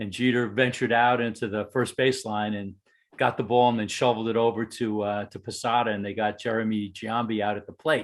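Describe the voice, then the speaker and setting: In a New York accent, a man of medium pitch speaks at a fairly quick pace. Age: 60s. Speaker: baseball fan, fantasy camp attendee. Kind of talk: casual chat. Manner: animated.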